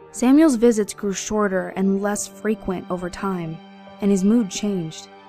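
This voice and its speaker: Music plays in the background while a woman talks. Her pitch is medium, her pace moderate and her pitch variation ordinary. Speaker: narrator. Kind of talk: horror story narration.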